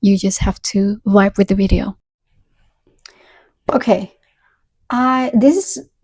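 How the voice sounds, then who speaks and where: Speaking in an Indonesian accent, a woman talks at a very slow pace with long, frequent pauses. Her medium pitch shows ordinary variation, and her voice is somewhat breathy. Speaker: book reviewer. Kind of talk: casual review monologue. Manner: halting, with frequent restarts.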